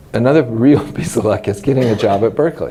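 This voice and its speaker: Noticeable background noise sits behind a man who has an American accent and a medium-pitched voice. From US West, Los Angeles. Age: 60s. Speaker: retired mycology professor. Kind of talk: oral history interview. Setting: scientific conference. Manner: conversational, with many fillers.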